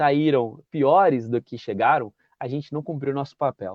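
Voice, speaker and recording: With an ordinary speaking voice, a man of fairly high pitch talks at a moderate pace. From interior of São Paulo state, Brazil. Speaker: municipal guard and YouTuber. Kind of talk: interview conversation. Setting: video call.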